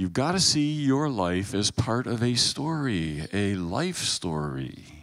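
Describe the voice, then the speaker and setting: A man with an American accent speaks at a very slow pace with hardly any pauses and very wide pitch swings. The sound is dry with no echo against a quiet background. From US Pacific Northwest. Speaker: guest lecturer. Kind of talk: sermon. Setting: chapel with audience. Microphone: handheld.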